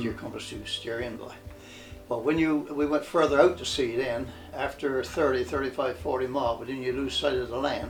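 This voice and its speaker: Music in the background behind a man at a medium pitch, fairly quick, with fairly even intonation and big swings in loudness. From Newfoundland, Canada. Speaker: former cod fisherman. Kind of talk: interview answer.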